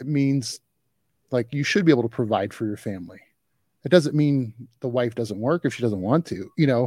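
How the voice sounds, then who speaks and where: On a very clean recording with a silent background and dry, close sound with no echo, a man with a dark, mellow tone speaks at a fairly quick pace and medium pitch, with ordinary pitch variation and long, frequent pauses. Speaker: podcast host. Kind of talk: casual interview chat.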